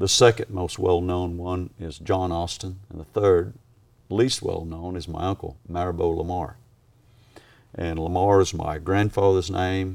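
Speaking at a fairly slow pace, a man uses a very deep, low voice with fairly even intonation. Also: big swings in loudness. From Australia. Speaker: horse trainer. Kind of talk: interview.

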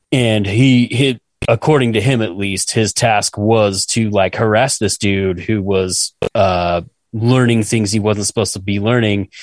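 A man with an American accent talks at a fairly slow pace in an unremarkable speaking voice, fairly low in pitch, with fairly even intonation. The sound is dry and close with no echo, over a quiet background. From Utah. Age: 40s. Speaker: podcast co-host. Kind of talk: casual chat.

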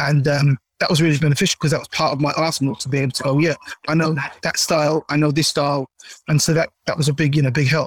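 Talking at a very fast pace in a South London accent, a man delivers monotone, flat intonation in a somewhat breathy voice, the sound dry and close with no echo. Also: fairly high pitch for a man. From South London, Caribbean family. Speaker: singer. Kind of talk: interview.

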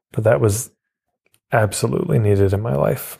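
This man's fairly low voice has a dark, mellow tone, a somewhat breathy quality, and ordinary pitch variation. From Canada, Edmonton, Alberta. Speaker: marketing coach and author. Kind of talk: interview conversation.

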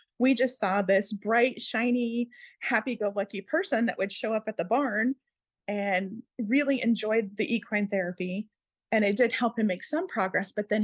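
A somewhat breathy woman with an American accent speaks at a fairly high pitch with ordinary variation, recorded dry and close with no echo. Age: 50s. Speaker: equine therapy instructor and former emergency dispatcher. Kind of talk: interview.

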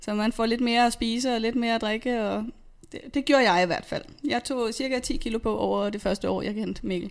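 A woman speaks at a moderate pace with ordinary pitch variation in a plain, everyday voice. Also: fairly high pitch for a woman. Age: 30s. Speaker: nurse and personal trainer. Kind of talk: interview testimony. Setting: studio.

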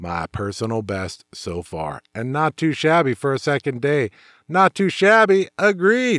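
A man with an American accent speaks at a fairly slow pace in a fairly high pitch, his voice making very wide pitch swings over a dry, close sound with no echo. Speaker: motorcycle show host and author. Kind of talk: podcast monologue reading rider stories.

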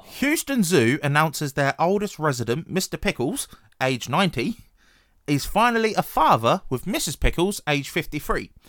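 Recorded very cleanly against a silent background, dry and close with no echo, a man with a British accent speaks at a moderate pace with a fairly high pitch and lively intonation. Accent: British, regional. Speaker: podcast host. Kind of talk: casual banter. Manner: casual, swears often.

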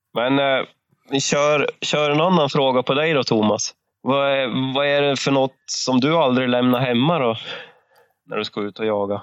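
A man uses a normal speaking voice at a medium pitch. He keeps a moderate pace and fairly even intonation. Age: 30s. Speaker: podcast co-host, hunter. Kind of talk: casual chat.

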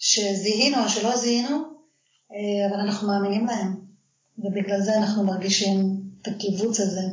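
A woman speaks at a medium pitch and a moderate pace, with long, frequent pauses. Her intonation stays fairly even, and the room echo is audible. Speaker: life coach. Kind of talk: interview.

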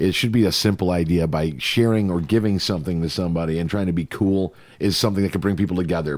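A man speaks in a very deep, low pitch with an animated tone. His pace is fairly quick. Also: very clean recording, silent background. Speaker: podcast host. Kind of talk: casual chat. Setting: studio.

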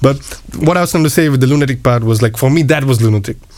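Very fast male speech with ordinary pitch variation comes through over noticeable background noise. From India (west). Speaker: food truck owner and cooking teacher. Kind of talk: casual interview chat. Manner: friendly, laughs often.

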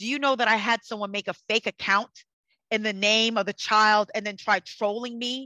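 The voice is loud and passionate, with a bright, sharp tone and fairly even intonation at a moderate pace. The recording is very clean, dry and close with no echo, over a silent background. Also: woman. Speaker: psychic and energy healer. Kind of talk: casual interview conversation. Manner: passionate, fiery.

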